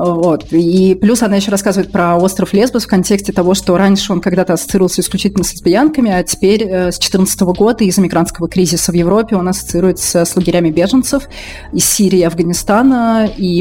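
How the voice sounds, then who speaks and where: Very fast woman's speech at medium pitch, ordinary pitch variation and very even loudness, with noticeable background noise. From Russia, Moscow. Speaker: journalist and blogger. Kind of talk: casual interview chat.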